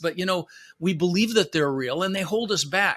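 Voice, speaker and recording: A man with an American accent speaks at a very fast pace in a raised, projected voice, with lively intonation and an animated, bright, sharp tone. The recording is very clean, with a silent background. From Netherlands, moved to US (Florida) at six. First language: Dutch. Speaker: real estate investor and motivational speaker. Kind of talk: podcast interview.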